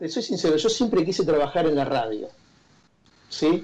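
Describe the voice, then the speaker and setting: The tone of this man's voice is dark and mellow. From Argentina, Santa Fe province near Rosario. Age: 50s. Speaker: journalist. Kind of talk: interview conversation. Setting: remote call from home.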